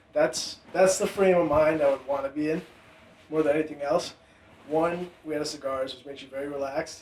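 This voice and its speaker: Over noticeable background noise, a man with a fairly high pitch talks at a fairly quick pace in a monotone, flat intonation. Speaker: podcast co-host, guest. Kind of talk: casual chat. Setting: podcast recording.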